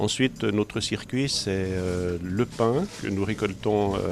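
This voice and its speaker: Very slow, fairly low-pitched speech from a man, with ordinary pitch movement amid noticeable background noise. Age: 60s. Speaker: volunteer. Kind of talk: interview testimony. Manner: hesitant, many fillers.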